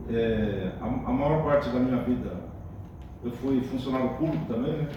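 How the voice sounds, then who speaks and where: There is audible room echo and noticeable background noise as a man speaks at a moderate pace, his medium pitch showing ordinary variation. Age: 60s. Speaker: mayoral pre-candidate, retired public servant. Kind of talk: campaign interview answers. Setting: union hall with panel.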